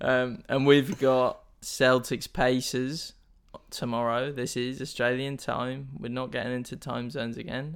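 Here a man speaks at a fairly slow pace with a medium pitch. The intonation is fairly even. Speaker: podcast host. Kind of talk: guided meditation (mock, comedic). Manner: slow, calm, soothing, in an exaggerated instructor voice; breaks into laughter.

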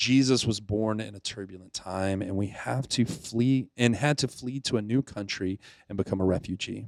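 In an ordinary speaking voice with an American accent, a man talks with fairly even intonation, the recording very clean with a silent background and a dry, close sound with no echo. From US South, Pensacola, Florida. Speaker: youth ministry director. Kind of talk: devotional reflection. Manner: casual with fillers.

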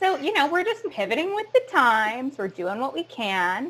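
A woman with a Canadian accent, at a moderate pace. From Sarnia, Ontario, Canada. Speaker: actor and theater educator. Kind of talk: casual interview chat.

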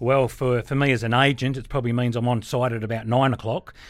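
A man with an Australian accent talks at a fairly quick pace in a flat, monotone way. The recording is very clean, with a silent background. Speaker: auctioneer. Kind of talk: interview. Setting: studio.

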